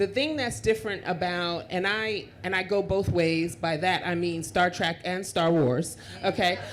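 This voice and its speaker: A woman's medium-pitched, animated voice at a fairly slow pace, with hardly any pauses and audible room echo. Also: lively intonation. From Queens, New York. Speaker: panelist at tech conference. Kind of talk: panel discussion. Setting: stage with audience.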